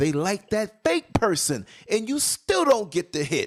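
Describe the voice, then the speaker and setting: A loud man talks at a fairly slow pace with very wide pitch swings. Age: 50s. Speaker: internet radio show host. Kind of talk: casual chat. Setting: home studio.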